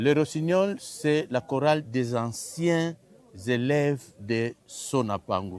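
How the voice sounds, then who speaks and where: The delivery is very slow, with lively intonation. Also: man. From Republic of the Congo. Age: 60s. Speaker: choir honorary president. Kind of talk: interview.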